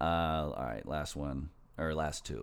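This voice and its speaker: Using a very deep, low pitch with vocal fry, a man speaks with ordinary pitch variation. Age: 30s. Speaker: podcast host. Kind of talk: casual chat.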